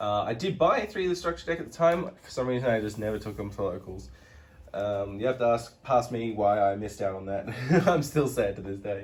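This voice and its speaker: A man talks at a fairly quick pace with lively intonation. His voice is somewhat breathy and medium in pitch. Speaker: card game content creator. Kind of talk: casual card game deck profile talk.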